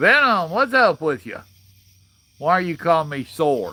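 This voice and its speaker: A man's fairly high, bright and sharp voice at a fairly slow pace, in a very clean recording with a silent background. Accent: Southern US. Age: 60s. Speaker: livestream host. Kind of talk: casual chat. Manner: animated.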